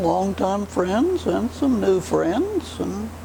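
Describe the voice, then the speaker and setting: A woman's voice with noticeable background noise. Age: 80s+. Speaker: retired home economics teacher. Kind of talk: interview answer.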